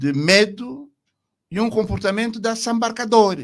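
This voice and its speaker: A man speaks at a fairly slow pace with lively intonation. The background stays quiet. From Angola, Bengo region; Angola. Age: 70s. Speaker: retired army general; interview guest. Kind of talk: radio interview. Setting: radio studio. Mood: critical, impassioned. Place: studio. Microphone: studio mic.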